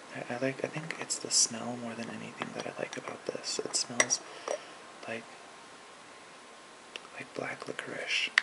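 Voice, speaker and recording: Relaxed whispering over noticeable background noise. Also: man. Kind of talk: ASMR soft-spoken talk to camera. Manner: soft-spoken, relaxed, casual.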